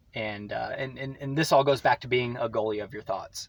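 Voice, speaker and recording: A man speaks at a fairly quick pace in a medium pitch. Noticeable background noise runs under his voice. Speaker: vlogger. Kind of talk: casual monologue. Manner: fast.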